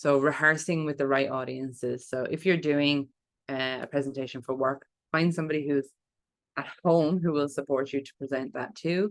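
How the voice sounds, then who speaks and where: This woman's pitch is very deep and low. She talks at a fairly quick pace with fairly even intonation. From Ireland. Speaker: public speaking coach. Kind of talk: online workshop talk.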